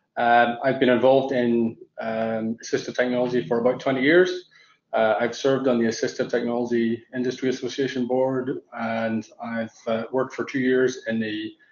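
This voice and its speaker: A man with an Irish accent speaks at medium pitch and a moderate pace, his intonation fairly even. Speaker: tech company founder, panelist. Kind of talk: panel discussion.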